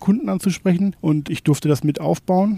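Recorded with a dry, close sound and no echo, a man talks at a moderate pace with ordinary pitch variation in an unremarkable speaking voice. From Germany, North Rhine-Westphalia. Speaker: shopfitting company manager. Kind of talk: interview.

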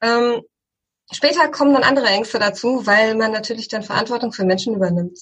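A woman speaks fairly quickly in a somewhat breathy, fairly high voice with ordinary pitch variation. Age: 40s. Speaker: tech company founder. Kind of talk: interview.

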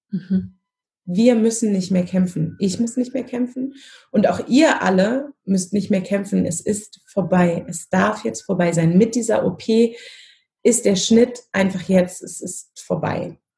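A very slow, somewhat breathy voice with a dark, mellow tone and ordinary pitch variation. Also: woman, medium pitch for a woman. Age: 30s. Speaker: family constellation facilitator. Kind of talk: interview.

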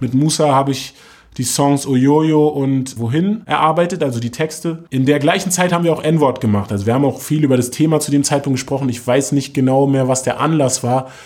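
In an unremarkable speaking voice, a man with a fairly high pitch talks at a fairly quick pace with ordinary pitch variation. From Berlin, Germany (Moabit). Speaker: rapper. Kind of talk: interview.

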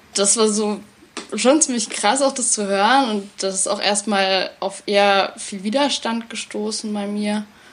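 An unremarkable speaking voice from a woman, fairly high in pitch, with fairly even intonation and a fairly slow pace. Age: 20s. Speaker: theatre educator. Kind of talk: interview conversation.

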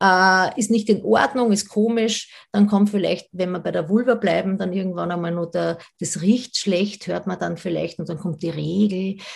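Against a quiet background, a woman with vocal fry talks at a moderate pace with hardly any pauses, her medium-pitched voice showing ordinary pitch variation. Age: 40s. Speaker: sex educator. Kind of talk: interview. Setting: video call.

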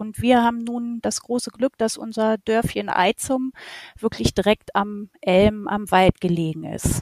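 A woman has an ordinary speaking voice, fairly high in pitch, and a fairly even intonation. She talks at a fairly slow pace in a dry, close sound with no echo. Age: 40s. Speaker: holiday rental host and shop owner. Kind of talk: interview.

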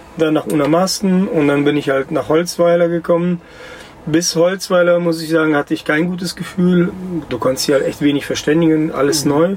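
Over noticeable background noise, the speaker talks at a fairly quick pace with fairly even intonation. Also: man, high pitch for a man. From Russia, moved to Germany aged 9. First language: Russian (speaking German). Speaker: chef. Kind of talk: interview.

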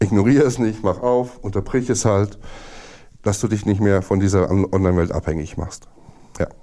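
A man's voice has a dark, mellow tone. He leaves long, frequent pauses. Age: 40s. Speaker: former gaming addict, service technician. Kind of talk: interview testimony.

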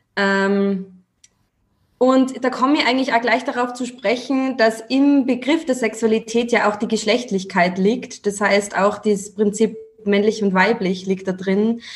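A woman with an Austrian accent speaks at a fairly slow pace. Her pitch is fairly high and her intonation fairly even. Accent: Austrian dialect, noticeable. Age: 20s. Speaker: female empowerment coach. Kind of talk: casual chat.

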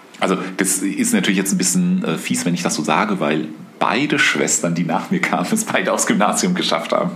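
A man talks at a fairly quick pace with very even loudness, over noticeable background noise and audible room echo. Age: 50s. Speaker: podcast co-host, father of co-host. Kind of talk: casual conversation. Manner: halting, many fillers.

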